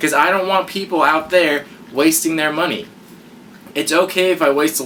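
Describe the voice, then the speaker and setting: A man mumbles at a fairly quick pace over noticeable background noise. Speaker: YouTube unboxing reviewer. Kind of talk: casual vlog review. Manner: mumbling; stutter.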